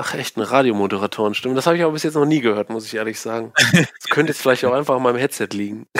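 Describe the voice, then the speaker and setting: Medium in pitch, a man talks very fast with hardly any pauses and ordinary pitch variation. The sound is dry and close, with no echo. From Aachen, western Germany. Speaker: old school friend. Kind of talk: casual chat.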